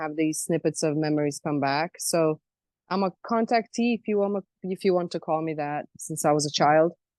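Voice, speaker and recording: A woman with a slight Croatian accent speaks at a moderate pace with ordinary pitch variation. The sound is dry and close, with no echo. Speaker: self-described alien abductee. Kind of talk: interview.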